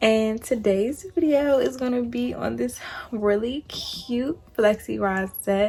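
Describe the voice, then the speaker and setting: Speaking at a very slow pace, a woman uses a fairly high pitch, a dark, mellow tone, slight breathiness and ordinary pitch variation. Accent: American. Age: 20s. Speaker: beauty vlogger. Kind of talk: casual talk to camera.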